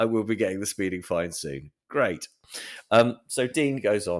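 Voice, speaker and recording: In a very clean recording with a silent background, someone speaks with a British accent. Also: man. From Britain. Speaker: personal finance journalist. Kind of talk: casual podcast chat. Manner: animated storytelling.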